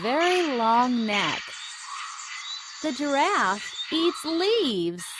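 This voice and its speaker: Speech comes at a very slow pace, broken by long and frequent pauses, over noticeable background noise. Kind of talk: children's educational app narration. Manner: slow, clear.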